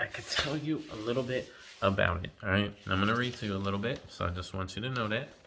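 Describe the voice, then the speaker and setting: A man with an ordinary speaking voice talks at a fairly low pitch, with ordinary pitch variation. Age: 30s. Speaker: tech unboxing youtuber. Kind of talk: product unboxing review. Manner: casual, filler-heavy with many ums.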